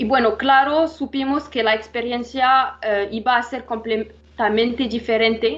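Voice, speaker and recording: A woman speaks in a high pitch at a fairly slow pace. Her intonation is fairly even. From Morocco. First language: not Spanish (Moroccan, studied in France) (speaking Spanish). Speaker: revenue management analyst. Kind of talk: interview. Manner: halting, many fillers.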